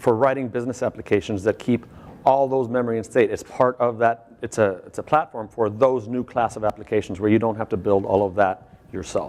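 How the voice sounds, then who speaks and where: Here is a man with an unremarkable speaking voice at medium pitch. He talks at a fairly quick pace with hardly any pauses and fairly even intonation. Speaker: conference speaker, software architect. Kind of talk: conference talk.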